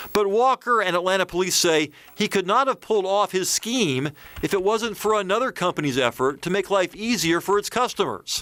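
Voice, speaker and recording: A man's high, bright, sharp voice at a fairly quick pace, lively in intonation and very even in loudness, with a dry, close sound and no echo. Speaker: investigative TV reporter. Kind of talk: TV news voiceover narration.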